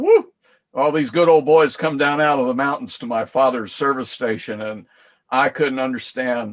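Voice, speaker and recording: Speaking with a Southern US accent, a man uses a fairly high pitch with ordinary variation. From US South. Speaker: co-host. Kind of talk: casual chat.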